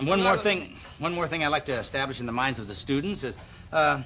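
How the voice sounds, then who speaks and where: Talking at a very fast pace, a man shows vocal fry and lively intonation. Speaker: fitness TV host. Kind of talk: TV show presenting.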